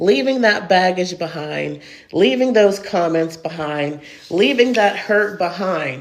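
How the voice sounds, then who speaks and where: Noticeable background noise behind rather unhurried speech. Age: 40s. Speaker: online creator. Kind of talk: casual chat.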